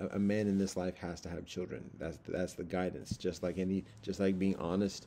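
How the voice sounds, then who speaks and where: Over light background noise, the voice moves at a fairly quick pace with a dark, mellow tone and monotone, flat intonation. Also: man. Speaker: religious teacher. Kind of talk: informal lecture. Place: home room. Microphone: webcam.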